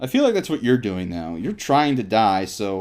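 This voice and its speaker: With very wide pitch swings, a man talks at a moderate tempo, captured on a very clean recording against a silent background. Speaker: gaming let's play host. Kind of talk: casual gameplay coaching chat. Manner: animated.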